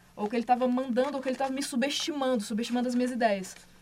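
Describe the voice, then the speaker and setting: Noticeable background noise runs under the recording. A woman speaks at a very fast pace over it. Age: 30s. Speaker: podcast host. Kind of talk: casual chat.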